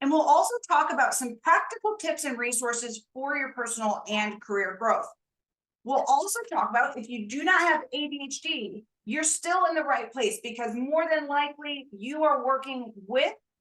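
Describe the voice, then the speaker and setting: Loud and bright with a sharp tone, a woman speaks at a high pitch and a moderate pace, her pitch swinging very widely. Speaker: career consultant and show host. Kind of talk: interview introduction.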